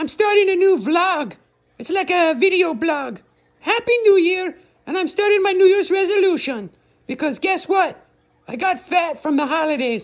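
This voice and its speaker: This cartoonish character voice has an extremely high pitch. It moves at a moderate pace. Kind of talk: comedic vlog to camera. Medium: puppet.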